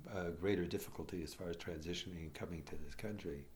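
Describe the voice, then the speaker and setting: With a Chicago accent, a man speaks at a moderate pace in a very deep, low pitch, sounding somewhat breathy. Audible room echo surrounds him. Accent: Chicago American English. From Chicago, US (immigrated as a child in the 1950s). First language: Croatian. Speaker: immigrant telling family history. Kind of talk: personal oral history interview. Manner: halting, many fillers and restarts.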